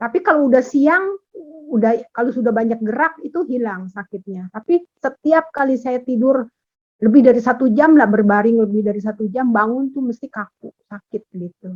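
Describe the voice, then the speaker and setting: A woman's high voice moves with lively intonation and big swings in loudness, heard in a dry, close sound with no echo. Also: moderate pace. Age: 60s. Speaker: class participant. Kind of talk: question from participant. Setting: video call.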